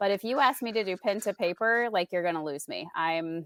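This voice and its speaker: In an unremarkable speaking voice, a woman with an American accent talks at a moderate pace and medium pitch with lively intonation. The recording is very clean, with a silent background and a dry, close sound with no echo. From Indiana. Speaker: tech coach. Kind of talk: casual interview chat.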